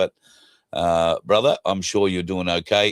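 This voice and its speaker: In an Australian accent, a man with a very deep, low pitch speaks at a moderate pace in a monotone, flat intonation, the recording very clean with a silent background and a dry, close sound with no echo. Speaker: talk show host. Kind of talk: casual chat.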